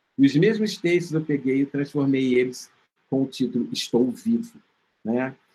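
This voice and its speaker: The speaker's dark, mellow tone carries lively intonation at a moderate pace. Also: man, fairly high pitch for a man. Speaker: filmmaker and HIV researcher. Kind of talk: interview.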